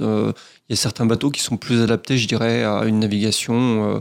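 Recorded very cleanly against a silent background, a man with an unremarkable speaking voice talks at medium pitch and a fairly slow pace. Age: 40s. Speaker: professional sailor and skipper. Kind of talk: radio interview. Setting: radio studio.

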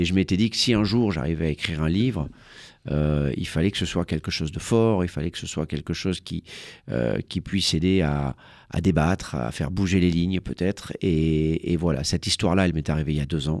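In a very clean recording with a silent background, a man with a very deep, low pitch speaks at a fairly quick pace with ordinary pitch variation. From France, Marseille. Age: 50s. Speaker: journalist and author. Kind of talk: radio interview. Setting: radio studio. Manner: halting, many hesitations.

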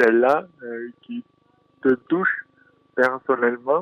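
A man speaks at a very slow pace with a southern French accent. His pitch is medium. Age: 20s. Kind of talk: interview. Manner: halting.

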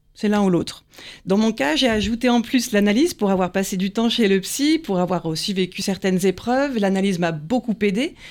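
A woman's plain, everyday voice, fairly high in pitch, with lively intonation at a moderate pace in a very clean recording with a silent background. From Paris, France. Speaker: hypnotherapist and psychoanalyst. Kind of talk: interview.

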